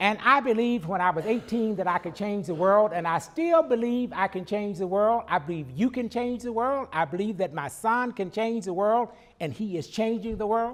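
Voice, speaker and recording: Animated and lively in intonation, a high-pitched man with an American accent talks at a moderate pace with hardly any pauses. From US South, rural Arkansas. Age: 60s. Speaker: educator, invited speaker. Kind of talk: speech to audience.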